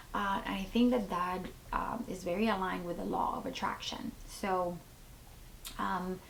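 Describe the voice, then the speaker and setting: Fairly even intonation with long, frequent pauses, audible room echo and noticeable background noise. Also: woman, medium pitch for a woman, moderate pace. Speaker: lifestyle vlogger, mom. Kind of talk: casual vlog talk to camera. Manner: chatty, many fillers.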